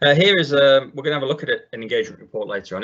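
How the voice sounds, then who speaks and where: This is a man's voice. He speaks with a northern English accent. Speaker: IT consultant, webinar presenter. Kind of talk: webinar tutorial. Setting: online webinar, screen share. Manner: frequent fillers, uh and um.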